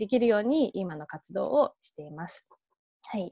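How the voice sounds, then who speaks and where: A woman talks with an English accent against a quiet background. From England. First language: English (speaking Japanese). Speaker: nonprofit founder; guest lecturer. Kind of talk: online lecture.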